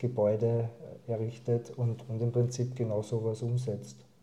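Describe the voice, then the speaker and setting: Speaking at a moderate pace, a man uses a medium pitch and a monotone, flat intonation. His tone is dark and mellow, and somewhat breathy. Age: 40s. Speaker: district councillor and local politician. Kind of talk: casual interview. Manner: halting, repeats words and uses fillers.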